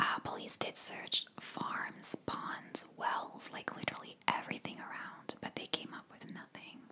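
Whispering and soft-spoken, a woman talks at a fairly slow pace with big swings in loudness. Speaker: true crime narrator. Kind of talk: casual true crime storytelling. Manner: soft close-mic ASMR whisper. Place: home room. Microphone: studio mic.

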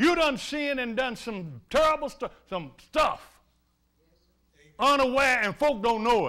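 An animated, raised and projected voice speaks at a fairly slow pace with big swings in loudness. The background is quiet. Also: man, extremely high pitch for a man. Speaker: preacher. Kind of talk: fervent sermon with call-and-response. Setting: church. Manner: animated, impassioned, with frequent laughter. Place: church.

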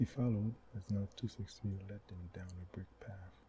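Soft-spoken and whispering, a man talks at a moderate pace over noticeable background noise. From Haiti. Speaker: author reading own book. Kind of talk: audiobook reading. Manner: soft-spoken, whispered.

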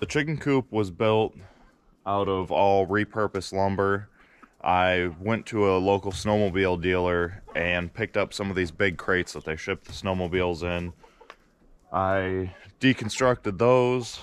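In a dry sound with no echo, a man speaks at a fairly slow pace with a very deep, low pitch. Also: ordinary pitch variation. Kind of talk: casual vlog chat. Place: forest. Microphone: phone near.

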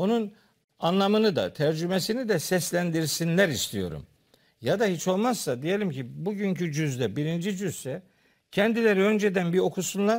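A man speaks at a high pitch and a moderate pace, with ordinary pitch variation. The background is quiet. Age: 60s. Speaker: theology professor. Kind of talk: religious discussion. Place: studio. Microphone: lapel.

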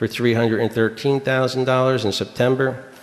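With an American accent, a man is talking. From US Northeast. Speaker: town supervisor chairing the board meeting. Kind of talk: public town board meeting. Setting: town hall meeting with public present. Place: hall.

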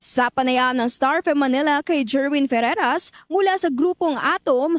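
At a fairly slow pace and high pitch, a woman speaks with ordinary pitch variation in a dry, close sound with no echo. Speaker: radio news reporter. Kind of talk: news reading. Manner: formal.

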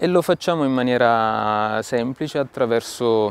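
In a dry sound with no echo, a man talks at a fairly slow pace. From Italy. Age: 40s. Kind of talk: talk to camera about mission work. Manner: halting, with frequent fillers and repetitions. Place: garden. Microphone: lapel.

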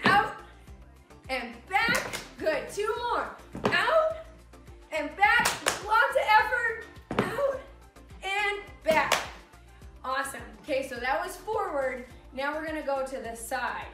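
Clear music plays in the background behind a woman's raised, projected voice. She goes at a fairly slow pace with long, frequent pauses. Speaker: exercise instructor. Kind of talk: workout class instruction. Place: empty room.

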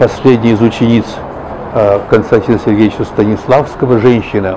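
Over noticeable background noise, a man speaks in a flat monotone, with long, frequent pauses. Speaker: television and radio announcer, writer and local historian. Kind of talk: interview answer, reminiscing about his career. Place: cafe. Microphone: lapel.

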